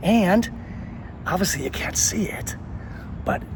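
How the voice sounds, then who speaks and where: A man speaks at a high pitch. Noticeable background noise and audible room echo fill the recording. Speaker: travel and history video host. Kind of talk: on-location tour explanation. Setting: outdoors at a memorial. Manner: quieter than usual; casual, conversational with fillers.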